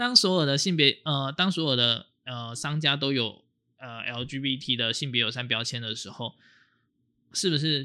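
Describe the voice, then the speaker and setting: Recorded very cleanly against a silent background, a man with a fairly high pitch and a bright, sharp tone speaks at a fairly slow pace, with ordinary pitch variation and big swings in loudness. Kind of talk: casual chat.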